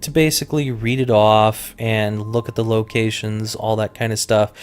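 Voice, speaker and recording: A man with an American accent speaks in a normal speaking voice at a medium pitch. His pace is moderate and his intonation fairly even. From Colorado. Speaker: gaming YouTuber. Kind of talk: let's play commentary. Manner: casual, with frequent fillers.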